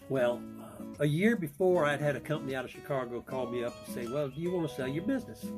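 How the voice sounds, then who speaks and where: Someone talks at a very fast pace with music in the background. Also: man. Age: 80s+. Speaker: retired business owner. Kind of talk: interview answer. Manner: hesitant, conversational.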